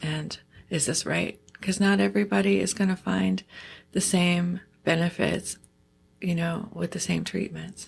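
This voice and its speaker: Vocal fry runs through this fairly slow delivery, which has very wide pitch swings and comes from a very clean recording with a silent background. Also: woman, fairly low pitch for a woman. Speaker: podcast host. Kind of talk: podcast interview questions.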